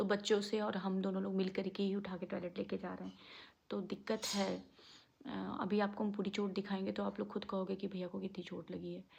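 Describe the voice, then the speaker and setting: A soft-spoken woman talks at a moderate pace. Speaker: family vlogger. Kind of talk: vlog, casual talk to viewers. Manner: speaking softly.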